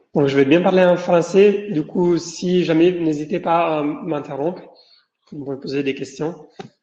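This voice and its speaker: Very slow, high-pitched man in an Italian accent, ordinary pitch variation and audible room echo. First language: Italian (speaking French). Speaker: professor. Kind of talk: lecture. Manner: halting, with many fillers and repetitions.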